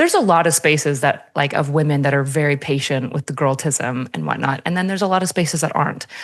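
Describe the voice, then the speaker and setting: With noticeable background noise, a woman speaks very fast in a very deep, low pitch with ordinary pitch variation. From French Canada. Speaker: podcast guest. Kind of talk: casual chat. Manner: direct.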